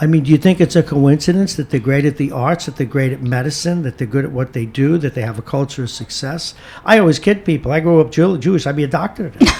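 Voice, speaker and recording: A man speaks at a very fast pace with hardly any pauses and ordinary pitch variation. Noticeable background noise runs behind him. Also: fairly high pitch for a man. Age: 60s. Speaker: radio host. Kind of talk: casual chat. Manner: animated.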